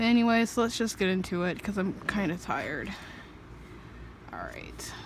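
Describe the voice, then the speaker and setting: At a moderate pace with ordinary pitch variation, the voice carries audible room echo. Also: woman, medium pitch for a woman. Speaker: artist vlogger. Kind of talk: casual chat. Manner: quiet; hesitant.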